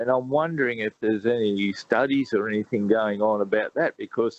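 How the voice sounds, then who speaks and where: A man with an Australian accent and a medium pitch. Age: 60s. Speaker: radio caller. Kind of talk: call-in question.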